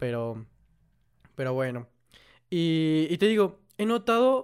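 A man speaks at a very slow pace with a fairly high pitch. The recording is very clean, with a silent background. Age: 18. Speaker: podcast co-host and video creator. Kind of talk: casual chat.

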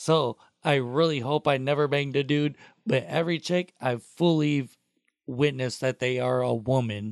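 A man with an American accent talks in a normal speaking voice at a moderate pace and medium pitch, with ordinary pitch variation, very even loudness, and a dry, close sound with no echo. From Toledo, Ohio. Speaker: podcast intern and co-host. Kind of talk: casual chat.

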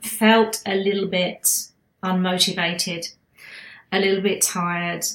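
A woman speaks at a very slow pace with an English accent. Her pitch is medium and her intonation fairly even. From England. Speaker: spiritual healer and channeler podcast host. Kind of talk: casual monologue.

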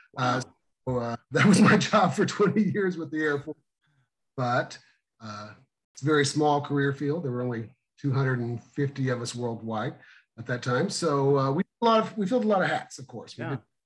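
A somewhat breathy man with an American accent and big swings in loudness. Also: lively intonation, moderate pace. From Missouri. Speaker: emergency dispatch trainer. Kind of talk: interview.

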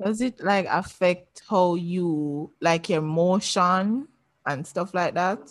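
The woman's pitch is fairly low with ordinary variation. She speaks at a very slow pace. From Jamaica. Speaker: podcast host. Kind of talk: casual interview.

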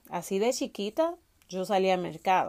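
With a Dominican accent, a woman speaks at a moderate pace and with lively intonation. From Dominican Republic, Salcedo. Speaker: podcast host, fitness coach. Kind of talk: personal storytelling monologue.

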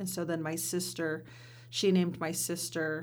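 A woman with an American accent speaks at a fairly low pitch with vocal fry and fairly even intonation. Audible room echo surrounds her voice. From US Pacific Northwest, Warm Springs reservation, Oregon. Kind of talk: interview conversation. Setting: studio.

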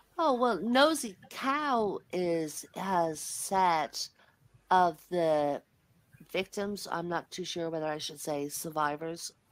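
In an Irish accent, a woman speaks very slowly with lively intonation and a fairly low pitch, on a very clean recording with a silent background. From Ireland. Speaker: debate guest. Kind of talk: heated debate.

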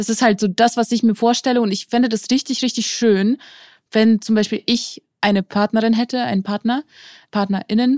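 A woman's fairly high voice, an unremarkable speaking voice, at a fairly quick pace with ordinary pitch variation, in dry, close sound with no echo. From St. Petersburg, Russia. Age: 20s. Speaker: podcast co-host, content creator. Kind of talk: casual chat.

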